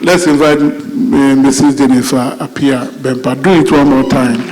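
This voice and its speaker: A man's fairly high-pitched voice at a moderate pace, with audible room echo and noticeable background noise. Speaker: event MC. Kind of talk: event introduction.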